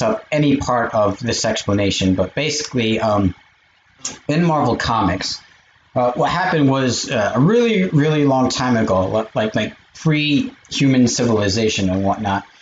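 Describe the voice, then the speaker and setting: With light background noise and audible room echo, a man speaks at a very even loudness, his pitch varying in an ordinary way. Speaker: streamer. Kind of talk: casual vlog chat. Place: home room. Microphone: webcam.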